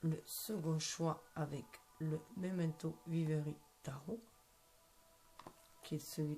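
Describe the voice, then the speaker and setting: A woman speaks at a very slow pace with a very deep, low pitch and a dark, mellow tone, somewhat breathy. Her loudness stays very even, and long, frequent pauses recur. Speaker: tarot card reader. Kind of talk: tarot reading. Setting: at home at night. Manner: soft-spoken; hesitant, many fillers.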